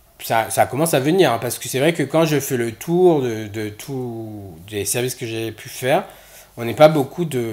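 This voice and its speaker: The speaker talks in a Réunion accent at a fairly slow pace. The intonation is lively. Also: man. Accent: Réunionese. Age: 30s. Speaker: nurse. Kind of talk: casual chat. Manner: halting.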